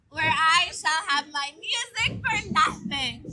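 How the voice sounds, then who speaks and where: In a put-on character voice, the speaker sounds high and squeaky, moving at a fairly slow pace. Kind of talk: stage Shakespeare acting. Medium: stage play. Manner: declamatory.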